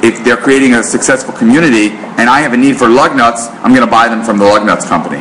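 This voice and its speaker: With an American accent, a man speaks fairly quickly at a medium pitch against noticeable background noise. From New York. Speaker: marketing author and speaker. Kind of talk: business presentation. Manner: fast.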